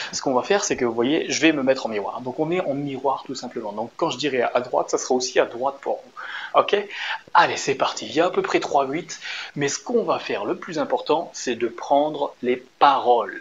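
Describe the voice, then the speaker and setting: A man with an animated tone at a moderate pace, over noticeable background noise. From France. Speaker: dance teacher. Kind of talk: tutorial. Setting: dance studio.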